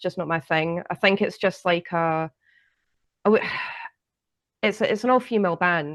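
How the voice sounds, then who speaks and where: Over a quiet background, a woman speaks at a medium pitch and moderate pace with ordinary pitch variation. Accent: Scottish. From Scotland. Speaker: podcast co-host. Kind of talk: casual chat.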